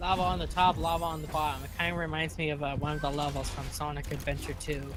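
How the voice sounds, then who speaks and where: Very fast speech from a man, with audible room echo and music in the background. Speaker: stream co-commentator. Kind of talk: casual chat. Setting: live stream.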